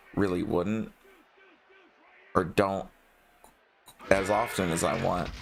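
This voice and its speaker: Very deep and low in pitch, a man speaks with long, frequent pauses. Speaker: gaming streamer. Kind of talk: casual chat. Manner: halting, frequent pauses.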